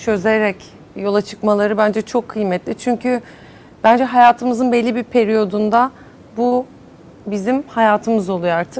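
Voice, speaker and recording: A woman talks at a fairly slow pace with fairly even intonation. Her pitch is fairly high, and there is noticeable background noise. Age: 30s. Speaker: entrepreneur. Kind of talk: panel discussion.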